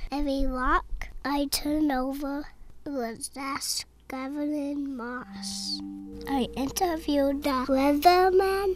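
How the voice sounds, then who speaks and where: A woman talks at a fairly slow pace. Music is clearly audible in the background. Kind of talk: film noir voiceover. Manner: world-weary, wisecracking.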